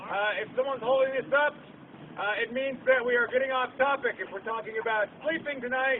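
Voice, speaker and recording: A man talks at an extremely high pitch and a fairly quick pace. His intonation stays fairly even over noticeable background noise. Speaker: meeting facilitator. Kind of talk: public meeting facilitation. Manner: halting.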